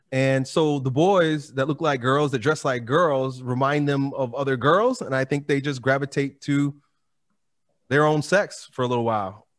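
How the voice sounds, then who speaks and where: Here a man talks in a normal speaking voice at a moderate pace. The recording is very clean with a silent background. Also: fairly high pitch for a man, ordinary pitch variation. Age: 40s. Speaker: fitness YouTuber and strongman. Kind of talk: casual chat.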